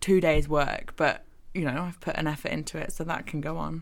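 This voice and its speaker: At a moderate pace, a woman speaks in an unremarkable speaking voice with ordinary pitch variation. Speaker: architecture graduate. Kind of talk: casual chat. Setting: studio.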